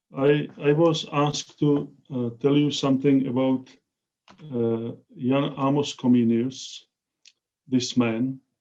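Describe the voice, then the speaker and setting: A man with a non-native accent speaks at a very slow pace with long, frequent pauses, his medium-pitched voice dark and mellow in tone and his intonation monotone and flat. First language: Czech. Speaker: professor. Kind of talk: lecture. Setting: video call. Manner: halting.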